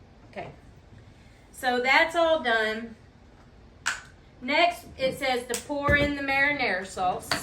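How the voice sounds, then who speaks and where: A woman's high, raised, projected voice at a very slow pace with long, frequent pauses and ordinary pitch variation, with audible room echo and noticeable background noise. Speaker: cooking show co-host. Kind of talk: casual cooking tutorial.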